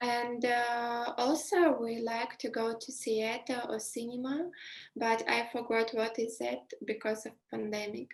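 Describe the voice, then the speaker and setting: Fairly high in pitch, a woman speaks with a Belarusian accent and fairly even intonation. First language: Russian. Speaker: interviewee. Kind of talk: casual interview. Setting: video call. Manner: halting, many fillers.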